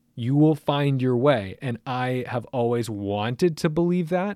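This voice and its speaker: A man talks in a normal speaking voice at medium pitch, fairly slowly and with lively intonation. The recording is very clean with a silent background and a dry, close sound with no echo. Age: 30s. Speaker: car podcast host and YouTuber. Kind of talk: casual chat.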